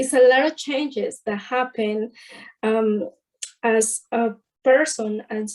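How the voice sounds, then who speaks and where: A woman's fairly high voice, dark and mellow in tone, with fairly even intonation at a very slow pace. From Mexico. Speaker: somatic bodywork therapist. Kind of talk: interview. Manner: halting.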